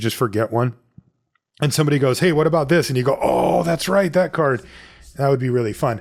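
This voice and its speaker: Talking very fast, a man uses lively intonation at a fairly high pitch. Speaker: podcast host. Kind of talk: casual chat. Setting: remote call. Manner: calm, relaxed.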